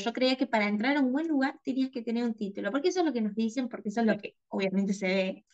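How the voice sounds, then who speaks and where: A woman's fairly high voice in an Argentine accent, with ordinary pitch variation. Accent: Argentine Spanish (voseo). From Argentina, small town near the Chilean border. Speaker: graphic designer and content creator. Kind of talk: interview conversation.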